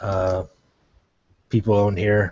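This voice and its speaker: Somewhat breathy, a man speaks fairly low in pitch with monotone, flat intonation. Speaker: gaming podcast host. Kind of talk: casual chat.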